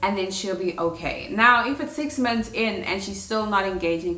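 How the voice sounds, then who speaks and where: A woman's intonation is lively, and noticeable background noise sits behind her. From South Africa. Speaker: au pair. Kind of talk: casual talk to camera.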